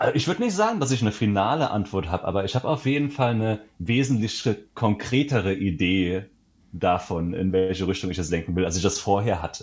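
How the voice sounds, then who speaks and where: A man with a plain, everyday voice, fairly low in pitch, at a fairly quick pace with ordinary pitch variation. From Germany, Saarland. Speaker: travel author. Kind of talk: casual interview. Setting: remote call.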